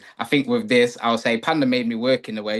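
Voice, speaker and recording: A man with an East Midlands accent talks at a very fast pace and medium pitch, his intonation monotone and flat. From England, Nottingham. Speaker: rapper. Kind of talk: casual chat.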